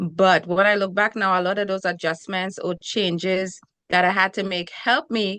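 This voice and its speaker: In a quiet background, a woman speaks at a fairly quick pace with a bright, sharp tone. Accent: Trinidadian. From Trinidad and Tobago. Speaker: relationship coach and TV host. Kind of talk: interview. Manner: energetic.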